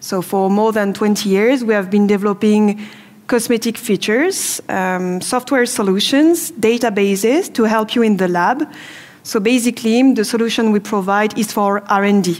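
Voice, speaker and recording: Her loudness very even, a woman with a French accent talks in a fairly high pitch. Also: ordinary pitch variation, moderate pace. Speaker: business development manager. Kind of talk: product presentation. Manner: hesitant, many fillers.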